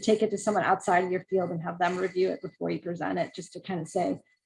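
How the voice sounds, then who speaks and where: A woman's voice comes across somewhat breathy. Her intonation stays fairly even. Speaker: environmental scientist, guest speaker. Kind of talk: talk with questions and answers. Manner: fast; halting, many fillers and repeats.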